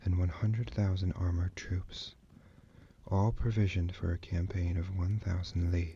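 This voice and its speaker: A soft-spoken man talks at a moderate pace in a very deep, low pitch with fairly even intonation. His tone is gentle, dark and mellow, and somewhat breathy. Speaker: ASMR artist reading as a librarian character. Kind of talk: book reading of an ancient military treatise. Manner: soft-spoken, gentle.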